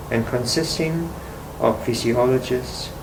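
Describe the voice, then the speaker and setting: Very slowly, a man talks with a medium pitch and fairly even intonation. Audible room echo and noticeable background noise fill the recording. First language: not English. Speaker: artist. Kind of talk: reading aloud. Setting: library.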